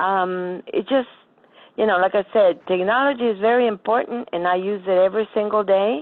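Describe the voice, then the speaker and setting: A woman with an American accent speaks in an ordinary speaking voice at a moderate pace, her medium pitch showing ordinary pitch variation. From Florida. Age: 60s. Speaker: blind adult attendee. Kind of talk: casual chat.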